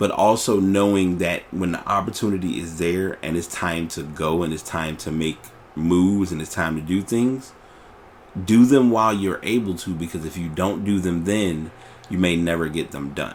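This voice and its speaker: A man with a very deep, low pitch, at a moderate pace. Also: ordinary pitch variation. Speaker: podcast host. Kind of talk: casual monologue. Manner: relaxed, nonchalant; halting, with fillers.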